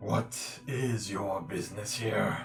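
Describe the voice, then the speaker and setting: Over clear music in the background, a man puts on a raspy character voice at a medium pitch. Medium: actual play. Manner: curt, formal.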